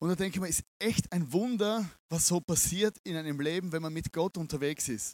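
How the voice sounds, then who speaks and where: The sound is dry and close, with no echo. A man with a high pitch talks at a moderate pace with ordinary pitch variation. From Austria, Vienna. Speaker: pastor. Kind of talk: sermon. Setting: stage with audience.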